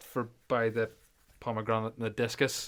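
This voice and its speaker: A man with a Belfast accent talks at a moderate pace. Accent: Northern Irish (Belfast area). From Northern Ireland, near Belfast. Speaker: podcast co-host, powerlifter. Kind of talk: casual chat.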